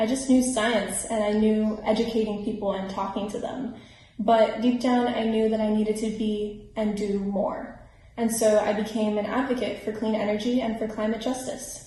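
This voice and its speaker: A woman with an American accent talks in a fairly high, monotone, flat voice, with audible room echo and noticeable background noise. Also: moderate pace. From Miami, Florida. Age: 20s. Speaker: climate activist. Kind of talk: scripted personal testimony.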